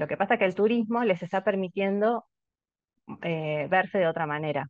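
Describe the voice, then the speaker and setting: At a very fast pace and in a Rioplatense accent, the voice is heard against a quiet background, dry with no echo. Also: woman. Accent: Argentine Spanish (rioplatense). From Argentina. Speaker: anthropologist, researcher; panelist. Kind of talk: academic commentary. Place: home room. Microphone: webcam.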